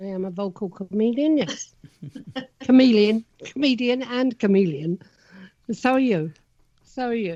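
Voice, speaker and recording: A woman's fairly high, dark and mellow voice in a South London accent, broken by long, frequent pauses. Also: lively intonation, moderate pace. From Sussex, England. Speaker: podcast co-host. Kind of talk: casual chat.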